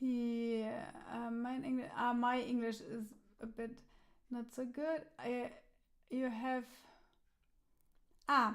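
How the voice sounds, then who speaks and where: In a German accent, a woman talks at a very slow pace, with long, frequent pauses. Her pitch is high and her intonation monotone and flat. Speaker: musician and live stream host. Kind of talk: casual chat. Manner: halting.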